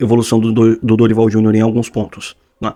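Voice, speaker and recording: Talking at a fairly quick pace, a man has a medium pitch and a dark, mellow tone. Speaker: football commentator YouTuber. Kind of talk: casual opinion commentary. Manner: fast.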